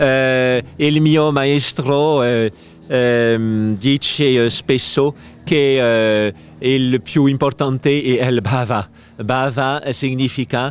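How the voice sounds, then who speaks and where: A man with a French accent at a medium pitch, very slow in pace, fairly even in intonation, the sound dry with no echo. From France. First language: French (speaking Italian). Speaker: spiritual teacher; interviewed yoga teacher at congress. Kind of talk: interview. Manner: halting. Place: garden. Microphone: handheld.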